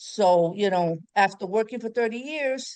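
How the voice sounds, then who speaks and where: A woman with an ordinary speaking voice and a fairly high pitch talks at a fairly slow pace with ordinary pitch variation. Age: 60s. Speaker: pediatric nurse, prospective client. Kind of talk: casual chat.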